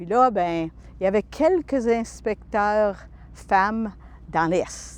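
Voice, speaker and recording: A woman at a very slow pace, with long, frequent pauses and big swings in loudness. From northern Alberta, Canada (Franco-Albertan). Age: 60s. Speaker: retired pilot and aviation inspector. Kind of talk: interview testimony.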